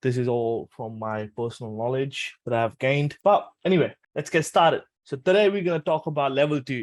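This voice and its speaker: A man with a fairly high pitch, a fairly quick pace and lively intonation, against a quiet background. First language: Punjabi. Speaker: trading educator. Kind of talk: tutorial. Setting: webinar. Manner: casual.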